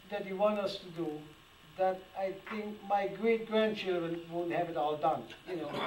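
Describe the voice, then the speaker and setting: A man speaks at a fairly slow pace with a high pitch. Noticeable background noise and audible room echo surround him. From Germany. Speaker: antique toy restorer. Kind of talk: public talk with audience Q&A. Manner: animated; repetitive, halting.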